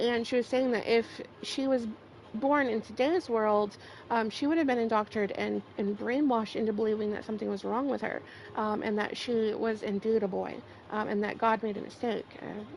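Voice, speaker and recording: A woman with an American accent talks at a fairly high pitch with fairly even intonation. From US South. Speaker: gaming streamer. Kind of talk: casual livestream talk.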